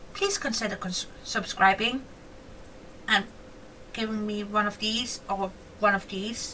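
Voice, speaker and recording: A woman's raised, projected voice over noticeable background noise. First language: not English (English is her fourth language). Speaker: gaming YouTuber. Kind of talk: casual gameplay commentary. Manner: chatty, animated.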